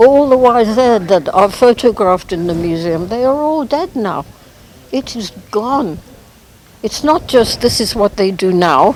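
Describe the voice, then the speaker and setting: A woman speaks fairly slowly at a fairly high pitch, her voice swinging very widely up and down. Noticeable background noise runs underneath. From Kenya. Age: 80s+. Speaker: museum founder, former safari guide. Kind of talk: interview.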